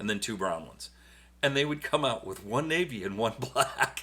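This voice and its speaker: With a bright, sharp tone and vocal fry, a man speaks at a moderate pace using very wide pitch swings. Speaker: podcast co-host with wife. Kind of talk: casual chat.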